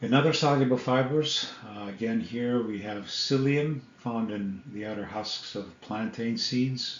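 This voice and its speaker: A man with an unremarkable speaking voice talks fairly slowly at a medium pitch, with ordinary pitch variation. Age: 60s. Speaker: health vlogger. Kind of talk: casual educational talk to camera.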